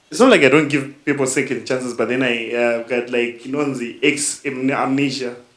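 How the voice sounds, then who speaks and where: Speaking with a Zimbabwean accent, a man holds a medium pitch in a monotone, flat intonation. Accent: Zimbabwean Shona English. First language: Shona. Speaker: podcast host. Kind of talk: casual chat.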